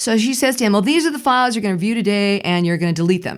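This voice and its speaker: In a very clean recording with a silent background, a woman with an ordinary speaking voice talks at a medium pitch with lively intonation. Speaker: vlogger. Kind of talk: casual talk to camera.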